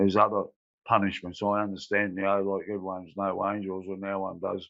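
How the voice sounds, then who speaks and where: Speaking at a moderate pace with an Australian accent, a man keeps a fairly low pitch and a monotone, flat intonation. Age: 60s. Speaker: former prisoner. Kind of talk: testimony. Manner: halting.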